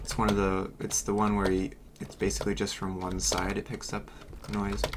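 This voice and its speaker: Moderate pace over noticeable background noise. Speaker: gaming streamer. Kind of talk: casual livestream chat. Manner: loud; hesitant, many fillers.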